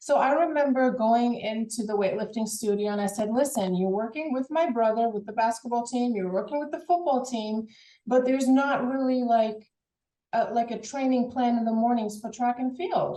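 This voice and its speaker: With a slight German accent, a woman speaks at a high pitch in a dark, mellow tone. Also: ordinary pitch variation, moderate pace. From Germany. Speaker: former college track and field athlete. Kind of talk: interview. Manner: halting, repeats words.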